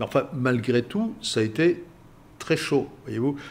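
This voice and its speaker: Vocal fry marks this man's voice as it moves at a moderate pace through very wide pitch swings. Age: 80s+. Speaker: international relations expert. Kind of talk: interview. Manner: halting, frequent hesitations.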